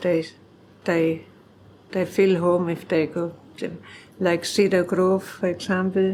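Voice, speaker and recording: Very slowly and with long, frequent pauses, a woman speaks in a monotone, flat intonation. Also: fairly low pitch for a woman. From Germany. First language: German. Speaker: farmer. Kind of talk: oral history interview.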